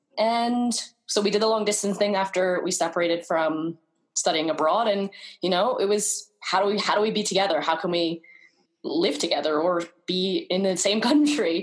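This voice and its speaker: In a New York accent, a woman speaks at a moderate pace with ordinary pitch variation and very even loudness. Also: medium pitch for a woman. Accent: American, New York. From US, New York. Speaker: travel blogger. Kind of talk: interview.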